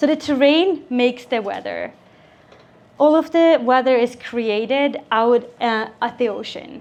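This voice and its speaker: Speaking with a Swedish accent, a woman uses a high pitch, ordinary pitch variation and a fairly slow pace. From Sweden. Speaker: avalanche safety instructor. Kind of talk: seminar presentation. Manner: casual, with filler words.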